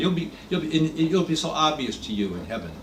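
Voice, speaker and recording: A man with a fairly high pitch talks at a very fast pace, making very wide pitch swings. Room echo is audible. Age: 80s+. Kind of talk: talk to a small gathering. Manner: halting.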